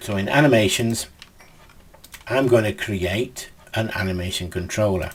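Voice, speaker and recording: Over noticeable background noise, a man with a fairly low pitch speaks at a moderate pace, with ordinary pitch variation and long, frequent pauses. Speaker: game development tutor. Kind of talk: tutorial.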